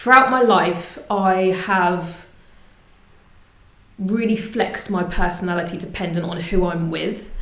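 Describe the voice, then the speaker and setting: Speaking in a southern English accent, a woman talks at a medium pitch and a fairly slow pace, with long, frequent pauses and fairly even intonation. Audible room echo and noticeable background noise are present. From England, Portsmouth. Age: 30s. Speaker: community group founder. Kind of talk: interview.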